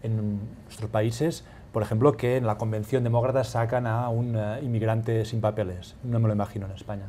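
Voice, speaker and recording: In a Catalan accent, a man speaks with a dark, mellow, somewhat breathy tone and fairly even intonation. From Catalonia, Spain. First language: Catalan (speaking Spanish). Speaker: newspaper correspondent. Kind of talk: panel discussion.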